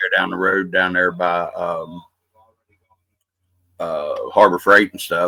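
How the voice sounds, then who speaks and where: With an Appalachian accent, a man speaks at a moderate pace. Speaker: podcast host. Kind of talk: casual podcast conversation.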